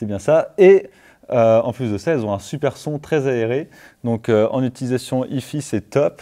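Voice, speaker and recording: Against a quiet background, a man talks with a dark, mellow tone. His pace is fairly slow, yet his intonation is lively. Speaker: audio equipment show host. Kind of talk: casual product review chat. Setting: studio. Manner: hesitant, filler-heavy. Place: studio.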